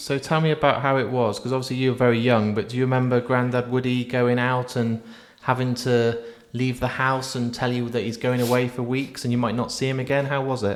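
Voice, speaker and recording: With an English accent, a man talks fairly quickly at a medium pitch. His intonation is monotone and flat, and there is noticeable background noise. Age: 40s. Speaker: podcast host. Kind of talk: casual chat.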